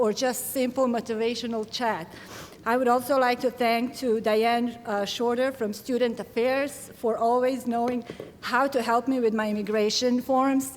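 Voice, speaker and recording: With a Serbian accent, a woman speaks at a moderate pace in a high pitch with monotone, flat intonation over noticeable background noise. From Bosnia. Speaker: graduating student. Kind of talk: commencement speech.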